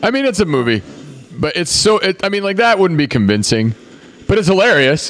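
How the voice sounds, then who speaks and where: Noticeable background noise sits behind a man who talks fairly quickly in a high voice with very wide pitch swings. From Venezuela. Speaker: film podcast co-host. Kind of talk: casual watch-along chat. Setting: live stream recording.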